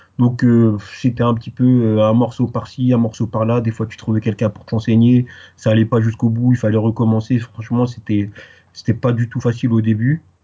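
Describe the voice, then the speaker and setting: The voice is somewhat breathy and moves at a moderate pace. Its intonation is monotone and flat. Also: man, medium pitch for a man. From Paris, France, Guadeloupean parents. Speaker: Arabic language teacher. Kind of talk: interview. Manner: hesitant, many fillers.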